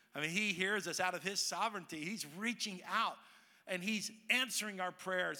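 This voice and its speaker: A raised, projected voice with an American accent, a bright, sharp tone and ordinary pitch variation. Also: man. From Texas, Dallas. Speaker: pastor. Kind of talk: sermon. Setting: church with congregation.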